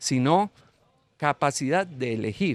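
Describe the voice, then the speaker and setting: With lively intonation, a man talks in a very clean recording, the background silent and the sound dry and close with no echo. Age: 60s. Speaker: teacher, panel guest. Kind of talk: panel discussion. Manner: halting, with fillers.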